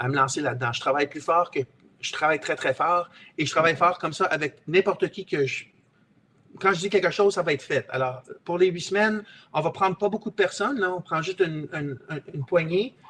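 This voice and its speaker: A man with a non-native accent, high-pitched, bright and sharp in tone, at a fairly quick pace with ordinary pitch variation. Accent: rusty French, non-native sounding. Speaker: real estate investor and trainer. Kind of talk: webinar sales pitch. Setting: online webinar. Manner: halting, with many repetitions and hesitations.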